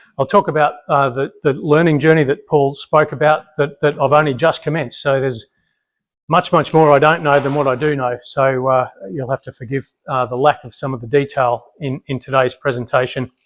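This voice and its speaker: Speaking at a fairly quick pace with an Australian accent, a man with a fairly high pitch keeps his intonation fairly even in a dry, close sound with no echo. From Australia, Brisbane. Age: 50s. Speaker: military family history speaker. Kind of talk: public talk. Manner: loud; many fillers and repetitions.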